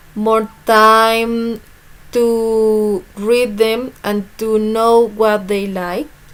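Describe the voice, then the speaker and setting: The voice carries a Spanish accent in a monotone, flat intonation. Its pace is very slow. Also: woman. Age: 20s. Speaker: student teacher. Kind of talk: class presentation. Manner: halting.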